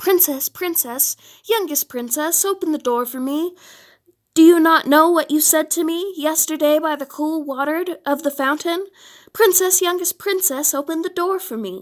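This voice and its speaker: Put-on character voice from a woman, extremely high in pitch, at a moderate pace. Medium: read story. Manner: insistent.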